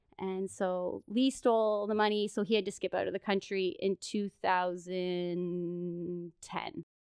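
In a Canadian accent, a woman speaks at a fairly slow pace, medium in pitch, in a plain, everyday voice with fairly even intonation. The sound is dry and close with no echo, on a very clean recording with a silent background. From Ontario, Canada. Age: 30s. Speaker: podcast guest. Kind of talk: casual storytelling chat.

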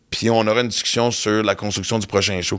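This is an ordinary speaking voice that moves at a moderate pace. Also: man. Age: 50s. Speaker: comedian and podcast host. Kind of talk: casual chat. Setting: studio.

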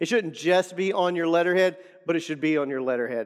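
A man's fairly high-pitched voice, a plain, everyday voice, with ordinary pitch variation. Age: 40s. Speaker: pastor and author. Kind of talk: podcast teaching monologue. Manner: repeats words often.

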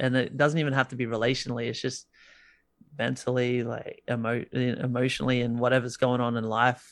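Someone talks at a fairly quick pace in an Australian accent, with monotone, flat intonation. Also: man, medium pitch for a man. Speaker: musician guest. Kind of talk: casual chat. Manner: casual, filler-heavy.

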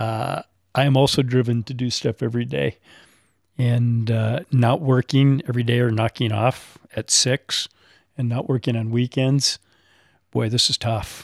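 In a normal speaking voice, a man talks fairly slowly at medium pitch with fairly even intonation, the sound dry and close with no echo. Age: 50s. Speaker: bonsai tree collector. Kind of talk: casual group conversation. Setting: in-person recording with microphones.

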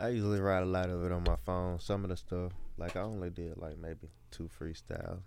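With a Mississippi accent, a man talks at a fairly quick pace in a very deep, low pitch and fairly even intonation, and audible room echo surrounds him. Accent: US South, Mississippi. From Mississippi, Columbia. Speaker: up-and-coming rapper. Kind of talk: casual interview.

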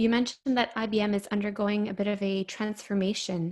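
A woman with a plain, everyday voice speaks at a medium pitch and a moderate pace, her intonation fairly even. The recording is very clean, with a silent background. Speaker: podcast host. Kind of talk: interview, polished host.

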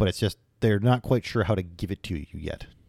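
In a plain, everyday voice, a man speaks at a moderate pace with a fairly low pitch and ordinary pitch variation, recorded very cleanly with a silent background and dry, close sound with no echo. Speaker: podcast co-host. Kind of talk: casual chat.

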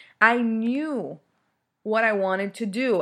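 A woman's fairly high voice, animated in tone, with ordinary pitch variation. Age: 30s. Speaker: podcast host, mother and entrepreneur. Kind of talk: casual monologue rant.

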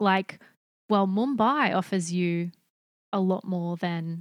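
Delivery is very slow. The pitch shifts in an ordinary manner. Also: woman. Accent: Australian. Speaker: podcast host. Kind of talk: casual chat. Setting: video call.

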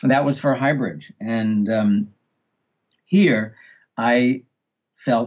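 A man with a New York accent talks at a very slow pace with long, frequent pauses, very even loudness and ordinary pitch variation. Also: medium pitch for a man. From New York City (Queens). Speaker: audiobook director and narration coach. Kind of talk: interview conversation.

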